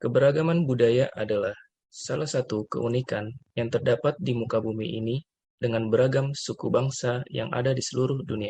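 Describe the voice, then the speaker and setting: A somewhat breathy man at medium pitch, ordinary pitch variation and a fairly quick pace. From West Sumatra (Minangkabau). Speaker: civil servant trainee. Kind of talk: scripted podcast discussion.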